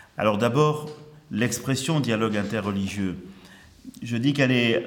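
A man's medium-pitched voice at a moderate pace, with ordinary pitch variation and audible room echo. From Marseille, southern France (early childhood in Algeria). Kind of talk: conference lecture.

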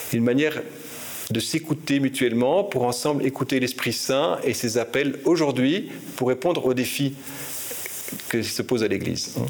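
A man speaks at a moderate pace as noticeable background noise runs behind him. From Belgium. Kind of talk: interview. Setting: archbishop's residence. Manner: hesitant, frequent repetitions.

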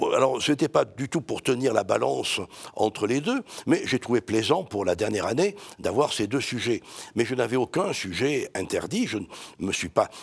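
Very wide pitch swings mark this man's speech. He talks at a moderate pace and a medium pitch. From France, Marseille. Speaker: priest and historian. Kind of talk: interview. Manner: halting.

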